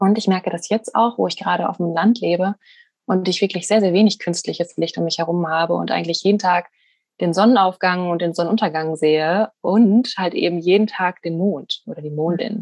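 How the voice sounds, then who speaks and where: A woman speaks in an ordinary speaking voice, fairly low in pitch with ordinary pitch variation. The sound is dry and close, with no echo. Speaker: podcast host. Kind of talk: casual interview chat. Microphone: voice sometimes robotic and slow due to internet connection.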